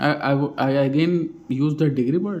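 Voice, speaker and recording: A man speaks with an Indian accent and ordinary pitch variation. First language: Hindi. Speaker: vlogger practicing English. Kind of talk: casual monologue. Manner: halting, many fillers; slow.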